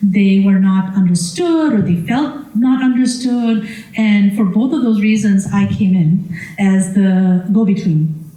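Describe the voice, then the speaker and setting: A woman with a Gujarati accent speaks with lively intonation. Audible room echo and noticeable background noise are present. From Washington DC, US. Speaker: panelist, former nonprofit director. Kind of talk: panel discussion. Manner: halting, many fillers.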